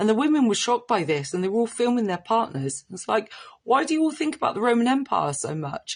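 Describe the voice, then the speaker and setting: A somewhat breathy woman in a strong Cornish accent, with very wide pitch swings and a quiet background. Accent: rich Cornish. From Cornwall. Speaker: social media commentator. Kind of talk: off-the-cuff commentary.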